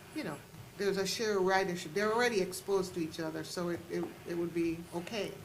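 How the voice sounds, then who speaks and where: With audible room echo and noticeable background noise, a woman talks very fast at a medium pitch with fairly even intonation. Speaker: oversight board member. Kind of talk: public meeting discussion. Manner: loud.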